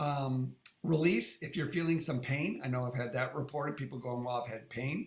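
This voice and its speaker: A man's somewhat breathy voice moves with fairly even intonation. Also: fairly high pitch for a man, moderate pace. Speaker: wellness device user group leader. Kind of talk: live online demo tutorial. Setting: live online meeting.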